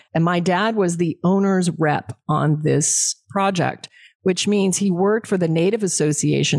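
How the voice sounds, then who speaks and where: A plain, everyday voice at a moderate pace with fairly even intonation, in a dry, close sound with no echo on a very clean recording with a silent background. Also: woman. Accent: American. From Alaska. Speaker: entrepreneur and musician. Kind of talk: interview.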